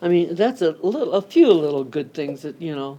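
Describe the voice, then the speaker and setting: A woman with an American accent, fairly low-pitched, dark and mellow in tone, at a moderate pace. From US Midwest, Akron, Ohio. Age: 90s. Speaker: longtime local resident. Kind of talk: oral history interview. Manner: halting.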